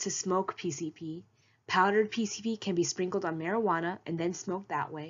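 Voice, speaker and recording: At a moderate pace, the speaker uses a normal speaking voice with ordinary pitch variation. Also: woman. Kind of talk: informational presentation read.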